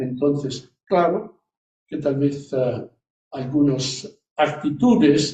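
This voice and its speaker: In an Italian accent, a man speaks with a fairly high pitch and a dark, mellow tone that is somewhat breathy. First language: Italian (speaking Spanish). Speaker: priest and hospital chaplain. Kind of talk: interview. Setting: live event with audience, streamed on Zoom. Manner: halting.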